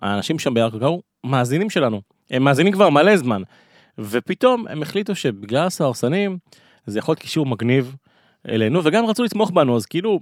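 On a very clean recording with a silent background, a man talks fairly quickly, his fairly high pitch making very wide swings. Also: dry, close sound with no echo. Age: 30s. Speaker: podcast host. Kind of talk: casual chat.

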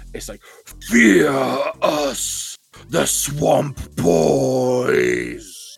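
The speaker uses a put-on character voice. Faint music plays in the background. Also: man. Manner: menacing and commanding.

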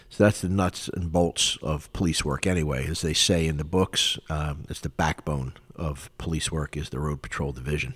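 A man with an American accent and a very deep, low pitch speaks with vocal fry, fairly even intonation and hardly any pauses, in a very clean recording with a silent background. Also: moderate pace. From Philadelphia, Pennsylvania. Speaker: podcast host, retired police officer and military veteran. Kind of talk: personal monologue. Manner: hesitant, many fillers.

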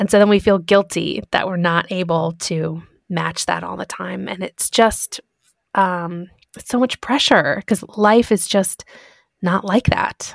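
A woman with an American accent has a normal speaking voice at medium pitch, ordinary pitch variation, a fairly slow pace and big swings in loudness. The recording is very clean with a silent background and a dry, close sound with no echo. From Michigan, US Midwest. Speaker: podcast host. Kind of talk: casual chat.

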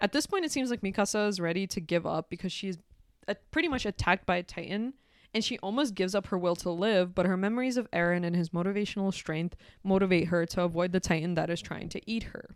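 On a very clean recording with a silent background, a woman speaks at a very fast pace with medium pitch and ordinary pitch variation. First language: not English. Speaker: podcast host. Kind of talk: casual chat, anime plot recap. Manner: casual, laughing often.

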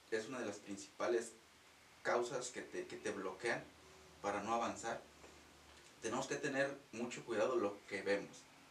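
Noticeable background noise and audible room echo around a man's medium-pitched voice. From Mexico, Guanajuato. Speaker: reiki practitioner. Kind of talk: casual interview. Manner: halting.

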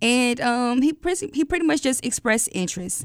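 A woman speaks with an American accent at a moderate pace, recorded very cleanly with a silent background. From Atlanta, US South. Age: 20s. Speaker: podcast guest telling her dating story. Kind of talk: personal storytelling.

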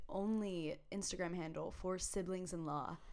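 A woman with a medium-pitched voice and ordinary pitch variation talks amid audible room echo. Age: 20s. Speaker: podcast co-host, college student. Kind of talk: casual chat.

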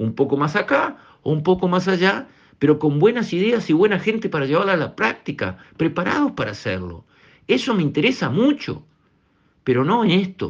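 Against a quiet background, a man talks in a high pitch at a moderate pace with very wide pitch swings. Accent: Rioplatense. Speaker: radio commentator. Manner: emphatic, repetitive, rhetorical pleading; indignant, accusatory.

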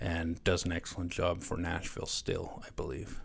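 The speaker is a man with a western Canadian accent. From Canada, Lloydminster area (Saskatchewan/Alberta border). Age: 30s. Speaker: former hockey player. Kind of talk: casual interview.

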